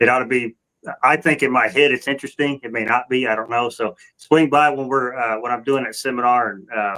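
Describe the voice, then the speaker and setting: A man with a Southern US accent at medium pitch, fairly quick pace and fairly even intonation. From US South. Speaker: catfishing angler and podcast co-host. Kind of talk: casual chat. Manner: halting, many restarts.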